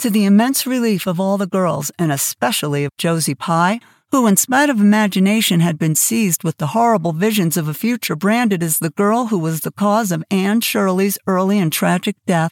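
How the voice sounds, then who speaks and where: An unremarkable speaking voice with lively intonation moves at a moderate pace and at very even loudness. The sound is dry and close with no echo, in a very clean recording with a silent background. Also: woman. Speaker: audiobook narrator. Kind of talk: literary audiobook reading. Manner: expressive, storytelling delivery with character voices; warm, conversational intro and outro.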